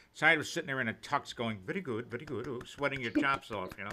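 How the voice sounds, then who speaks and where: In an American accent, a man talks at a very fast pace. His tone is bright and sharp. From New York City. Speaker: variety show host. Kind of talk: casual chat. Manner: animated.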